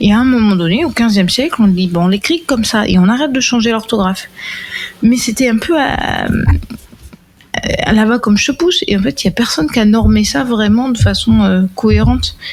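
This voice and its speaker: A woman talks fairly quickly at a fairly high pitch, with lively intonation and very even loudness. Long, frequent pauses break up her speech over noticeable background noise. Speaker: podcast panelist. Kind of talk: casual chat. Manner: rambling, hesitant.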